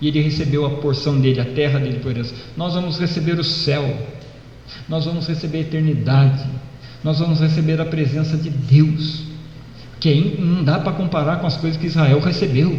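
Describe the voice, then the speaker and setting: Through noticeable background noise and audible room echo, a man speaks at fairly high pitch and a moderate pace, with monotone, flat intonation and long, frequent pauses. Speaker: pastor. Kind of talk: sermon. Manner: hesitant fillers.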